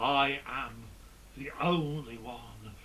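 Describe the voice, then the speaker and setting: Medium pitch from a man, with audible room echo and noticeable noise in the background. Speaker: comedian. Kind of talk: stand-up.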